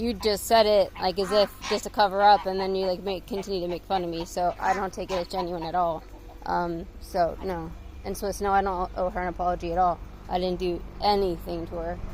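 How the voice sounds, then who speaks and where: A woman's medium-pitched voice with an American accent, fairly quick and monotone with flat intonation. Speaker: YouTuber. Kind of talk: casual vlog commentary. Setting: outdoors collecting eggs. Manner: fast; hesitant, many fillers.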